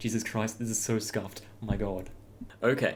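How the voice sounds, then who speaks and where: With music in the background and audible room echo, the voice moves at a fairly quick pace with fairly even intonation. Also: man. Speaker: anime fan reviewer. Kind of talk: casual reaction commentary. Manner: halting, stuttering.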